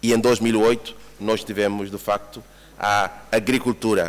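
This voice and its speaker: With a Mozambican accent, a man talks in a fairly low pitch. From Mozambique. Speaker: UN agency representative, former government official. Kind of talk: conference presentation. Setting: workshop room with audience. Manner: repeats words, stammering restarts.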